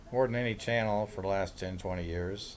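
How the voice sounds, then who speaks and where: Fairly low in pitch, a man speaks with fairly even intonation. He has a Midwestern American accent. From Kansas, Kansas City area. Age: 60s. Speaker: self-described day trader. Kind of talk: casual monologue. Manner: rambling, with filler words.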